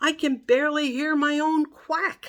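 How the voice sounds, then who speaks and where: A put-on character voice from a woman, pitched high, delivered at a moderate pace. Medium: read story. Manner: eager.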